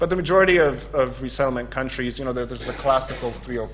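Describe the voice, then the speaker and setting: A man speaks with audible room echo. Noticeable background noise is present. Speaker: seminar speaker on refugee law. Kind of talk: academic seminar presentation. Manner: fast.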